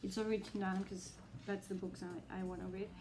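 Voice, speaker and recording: At a moderate pace, a woman speaks with a Spanish accent, with audible room echo and noticeable background noise. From Spain. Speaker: booktuber. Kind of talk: casual vlog. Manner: hesitant, many fillers.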